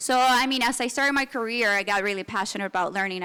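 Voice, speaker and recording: A woman with a Spanish accent speaks at a fairly quick pace in a fairly high pitch, her tone bright and sharp and her pitch variation ordinary. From Venezuela. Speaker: business consultant. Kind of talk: panel discussion. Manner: halting, many fillers and restarts.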